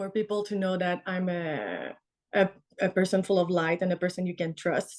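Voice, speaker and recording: Intonation stays fairly even while the pace holds moderate. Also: woman. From Canada. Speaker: tattoo artist. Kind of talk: podcast interview. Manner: hesitant, searching for words.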